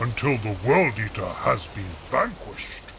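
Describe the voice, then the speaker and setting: A put-on character voice talks at a fairly slow pace over clear background noise. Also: man. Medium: game mod dialogue. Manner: formal, archaic phrasing.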